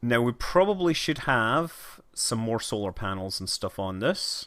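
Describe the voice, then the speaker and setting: At a fairly slow pace, a man at medium pitch speaks with a bright, sharp tone and lively intonation, in a very clean recording with a silent background. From Scotland. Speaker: livestreamer gamer. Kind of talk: casual game livestream commentary. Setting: livestream with camera.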